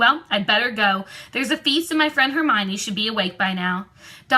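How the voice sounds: With lively intonation, the speaker reads in a natural reading voice.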